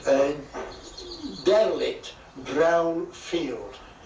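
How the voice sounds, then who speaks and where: Music plays in the background as a man speaks amid audible room echo. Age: 80s+. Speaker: retired landowner seeking planning permission. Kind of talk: news interview.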